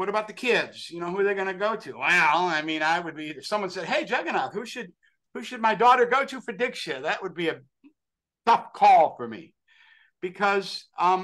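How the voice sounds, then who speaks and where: With an American accent, a man with a high voice talks at a moderate pace, using lively intonation and big swings in loudness. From US Northeast (western New York). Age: 60s. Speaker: actor and author, religious devotee. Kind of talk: interview. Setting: podcast interview. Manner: animated; halting.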